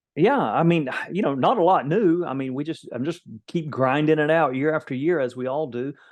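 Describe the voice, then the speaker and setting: Moving at a fairly quick pace, a man talks at a fairly high pitch with ordinary pitch variation. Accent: Florida Panhandle. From Florida Panhandle. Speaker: executive protection company owner. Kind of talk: interview.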